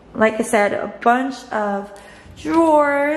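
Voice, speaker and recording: Over noticeable background noise, a woman speaks at a very slow pace with ordinary pitch variation. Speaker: new tenant vlogger. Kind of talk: casual vlog chat. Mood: happy, excited. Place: kitchen. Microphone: phone near.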